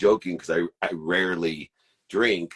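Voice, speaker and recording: The voice has vocal fry, with a dry, close sound and no echo. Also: man. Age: 50s. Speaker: podcast co-host. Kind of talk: casual chat.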